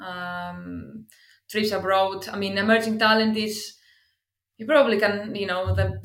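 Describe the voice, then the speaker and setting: In a Greek accent, a woman speaks with monotone, flat intonation at a fairly slow pace. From Greece. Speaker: football club talent scout. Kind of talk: interview.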